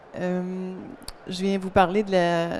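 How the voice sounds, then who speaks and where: This woman talks with a Quebec accent at a fairly slow pace. Her pitch is medium. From Quebec, Montreal. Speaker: optician and eyewear designer. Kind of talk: conference talk. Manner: hesitant, many fillers.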